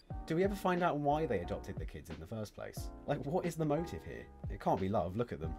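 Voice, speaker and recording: Very fast speech over music in the background. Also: man. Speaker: YouTube commentator. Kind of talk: casual commentary to camera.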